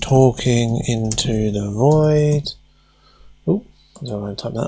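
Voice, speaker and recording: The voice is somewhat breathy with a dark, mellow tone, moving at a very slow pace with ordinary pitch variation. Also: man, medium pitch for a man. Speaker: hobbyist robotics streamer. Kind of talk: live stream tutorial chat.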